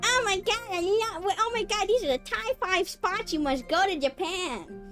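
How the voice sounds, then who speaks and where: In a put-on character voice, the speaker talks at a moderate pace with extremely high pitch over clear background music. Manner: exaggerated, gushing.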